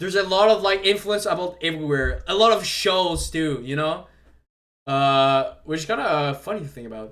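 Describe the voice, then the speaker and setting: A man with a French Canadian accent speaks at a moderate pace and a high pitch, his intonation lively and his loudness swinging widely. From Quebec. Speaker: streamer. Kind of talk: casual live stream commentary. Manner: halting, repeats words.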